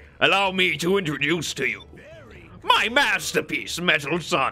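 Faint music plays in the background as a man performs a put-on character voice. He pitches it high and keeps a moderate pace. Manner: grandiose, showy introduction.

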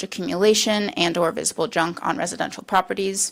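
Vocal fry runs through this woman's medium-pitched voice. She talks at a fairly quick pace with fairly even intonation. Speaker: university researcher. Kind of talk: presentation. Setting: city council meeting. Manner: fast.

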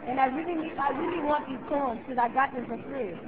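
Speaking at a moderate pace, a woman is heard over crowd noise in the background. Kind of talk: prank phone call complaint. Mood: mock-indignant, complaining. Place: classroom. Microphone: camera far.

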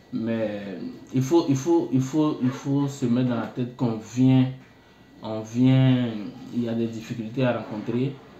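With audible room echo, a man speaks very slowly at a medium pitch in a dark, mellow tone and with fairly even intonation. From Côte d'Ivoire, Bouaké. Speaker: international student. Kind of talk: interview. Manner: halting.

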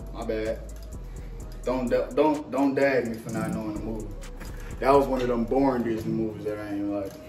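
A man talks amid audible room echo, with clear music in the background. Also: moderate pace. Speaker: vlogger cooking with partner. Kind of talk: casual vlog chat. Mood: playful, joking banter. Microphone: camera far.

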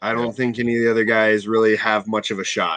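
A man's voice comes through with a bright, sharp tone. The background is quiet. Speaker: remote guest commentator. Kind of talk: interview answer. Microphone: video call.

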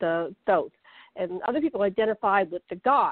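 A woman's medium-pitched, unremarkable speaking voice at a fairly quick pace. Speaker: panel guest. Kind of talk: panel discussion.

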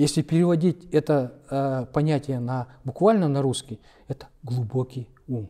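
A dark, mellow male voice with a Kalmyk accent, fairly slow pace and a quiet background. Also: fairly high pitch for a man, ordinary pitch variation. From Kalmykia, Russia. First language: Kalmyk (speaking Russian). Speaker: publisher of Buddhist literature; interviewee. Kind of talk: interview conversation. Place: hall. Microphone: lapel.

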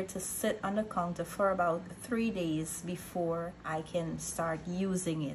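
Her pitch sits fairly low for a woman, with fairly even intonation. Noticeable background noise runs underneath. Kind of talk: tutorial. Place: kitchen. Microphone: phone near.

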